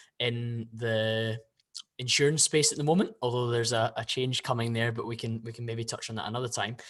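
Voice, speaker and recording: A man with a Scottish accent speaks at a medium pitch in a bright, sharp tone with fairly even intonation. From Scotland, Glasgow (Bearsden). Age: 20s. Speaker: podcast guest, fitness influencer and investor. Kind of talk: casual interview chat.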